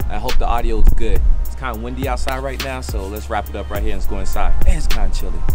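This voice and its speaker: Clear music plays behind a man speaking at a very fast pace with ordinary pitch variation. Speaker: sneaker vlogger. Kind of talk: casual vlog chat. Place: street.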